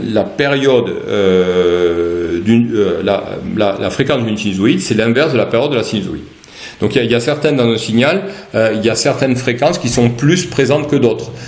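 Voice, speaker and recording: A man at medium pitch and a fairly quick pace, with audible room echo and noticeable background noise. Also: lively intonation. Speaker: university lecturer. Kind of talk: lecture. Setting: online class from home. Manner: halting, many repetitions and fillers.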